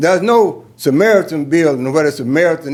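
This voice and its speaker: A man with a Georgia accent talks at a fairly quick pace in a fairly high pitch. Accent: Georgia Southern. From US South. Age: 80s+. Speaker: commissioner speaking at public hearing. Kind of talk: public comment. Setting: city council chamber. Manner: formal.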